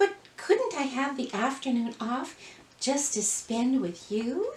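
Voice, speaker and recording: In a put-on character voice, a woman speaks at a fairly slow pace. Her pitch is high and her intonation lively. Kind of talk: stage melodrama acting. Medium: read story. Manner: breathless, wide-eyed, earnest.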